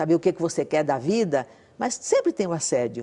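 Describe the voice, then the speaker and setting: Fairly low in pitch, a woman's voice carries a dark, mellow tone. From Brazil, Northeast (Alagoas/Pernambuco). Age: 80s+. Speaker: former political activist, widow of a revolutionary. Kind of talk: TV interview.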